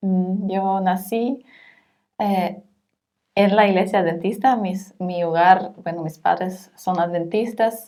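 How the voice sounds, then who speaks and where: At a very slow pace, a woman with a German accent speaks in a dark, mellow tone at medium pitch with fairly even intonation. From Germany. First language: German (speaking Spanish). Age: 30s. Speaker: social worker. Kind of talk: interview. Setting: in person, not over Zoom. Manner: halting, frequent hesitations.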